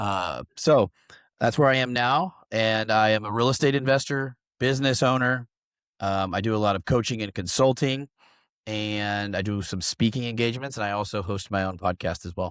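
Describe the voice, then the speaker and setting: In a very clean recording with a silent background, a man uses a normal speaking voice at a fairly low pitch, with a moderate pace and ordinary pitch variation. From Oklahoma, US. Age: 30s. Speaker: real estate investor and business coach. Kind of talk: podcast interview. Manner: casual, filler-heavy.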